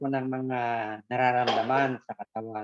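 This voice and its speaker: A man speaks at a moderate pace. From Philippines, Quezon province. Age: 60s. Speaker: customer. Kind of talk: testimony.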